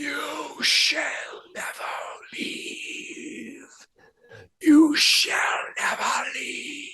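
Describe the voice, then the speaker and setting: A man whispers in a put-on character voice. He goes at a very slow pace. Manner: whispering, eerie.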